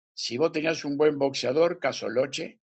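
A man speaks at a fairly slow pace. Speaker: boxing federation president. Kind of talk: interview.

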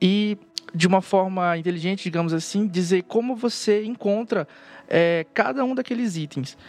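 A man speaks with lively intonation. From northern Brazil. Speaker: software developer on a search team. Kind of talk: casual technical panel chat.

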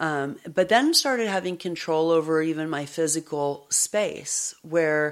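A woman's very deep, low voice, unhurried at a fairly slow pace. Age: 50s. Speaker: psychologist and podcast host. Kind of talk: personal testimony in interview. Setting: away from her usual studio.

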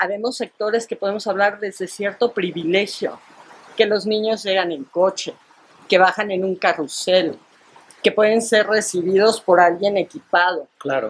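A fairly slow pace with ordinary pitch variation. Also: woman, medium pitch for a woman. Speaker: educator. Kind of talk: casual chat.

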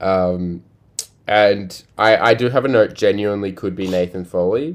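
A fairly slow delivery with an Australian accent, ordinary pitch variation, and long, frequent pauses. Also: man. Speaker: podcast host. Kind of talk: casual chat.

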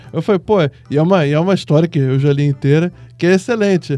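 With a dark, mellow tone, a man speaks at a fairly high pitch and a moderate pace, using ordinary pitch variation. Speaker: film critic. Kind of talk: casual chat.

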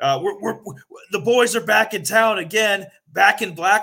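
A man talks at a fairly quick pace. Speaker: podcast co-host. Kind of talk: casual chat. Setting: remote call from a hotel room. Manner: halting, repetitive.

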